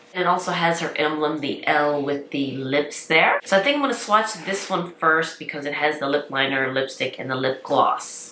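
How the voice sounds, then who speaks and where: With audible room echo and noticeable background noise, a woman with a very deep, low pitch speaks fairly quickly, using ordinary pitch variation. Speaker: beauty vlogger. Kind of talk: product review tutorial. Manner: chatty. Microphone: poor sound.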